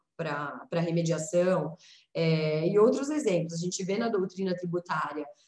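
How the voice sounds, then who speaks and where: Using an ordinary speaking voice, a woman talks fairly slowly at a fairly low pitch with ordinary pitch variation. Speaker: lawyer and researcher, speaker. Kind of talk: presentation.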